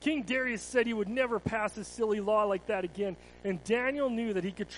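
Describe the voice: A plain reading aloud.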